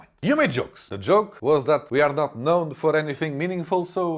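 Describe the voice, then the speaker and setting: A man with a Portuguese accent talks at a fairly quick pace. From Portugal. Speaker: comedian. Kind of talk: comedic monologue. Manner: animated.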